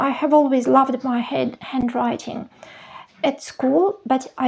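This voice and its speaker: In a Russian accent, a woman with a high pitch talks at a fairly slow pace. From Soviet Union (Russian-speaking). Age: 50s. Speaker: journaling vlogger. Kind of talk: show-and-tell tutorial. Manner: hesitant, with fillers.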